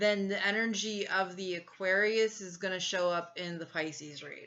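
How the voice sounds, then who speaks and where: A woman talks at a moderate pace and a medium pitch in a normal speaking voice. Her intonation is fairly even. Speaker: tarot reader. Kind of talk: tarot reading. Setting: home recording with incense.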